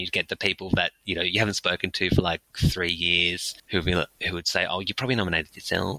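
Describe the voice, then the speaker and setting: A man speaks at a fairly quick pace with a very deep, low pitch. His tone is bright and sharp, and the sound is dry and close with no echo. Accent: Australian. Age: 30s. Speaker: in-house lawyer and public speaking coach. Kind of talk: interview.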